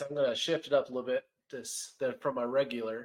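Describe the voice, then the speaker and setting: This man has a plain, everyday voice at a fairly high pitch. His pitch varies in an ordinary way. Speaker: podcast host. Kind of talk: casual interview.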